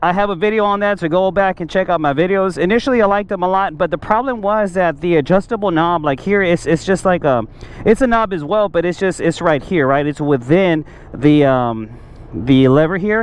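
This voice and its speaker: A man with a high pitch talks at a fairly quick pace in a dry sound with no echo. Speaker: motorcycle rider reviewing parts. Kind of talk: casual product review. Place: street. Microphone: helmet.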